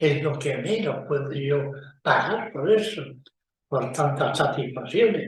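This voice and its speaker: Over audible room echo, a somewhat breathy man speaks at a fairly high pitch. His pace is very slow and his intonation lively. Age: 90s. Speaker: magician. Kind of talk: casual talk to camera.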